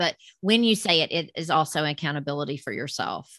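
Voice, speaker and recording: Bright and sharp in tone, the voice moves at a fairly quick pace with lively intonation in a Southern US accent, on a very clean recording with a silent background. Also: woman. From US South. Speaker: podcast host. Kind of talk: casual interview.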